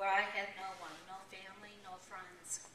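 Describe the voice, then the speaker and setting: A woman with an American accent and medium pitch talks at a moderate pace amid noticeable background noise and audible room echo. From New York. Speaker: nurse sharing her story as a former shelter client. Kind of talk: testimony. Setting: stage with audience at a fundraising event.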